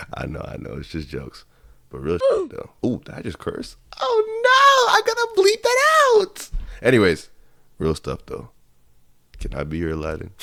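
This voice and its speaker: A woman speaks with long, frequent pauses against noticeable background noise. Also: moderate pace, big swings in loudness. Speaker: anime commentary YouTuber. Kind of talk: casual commentary.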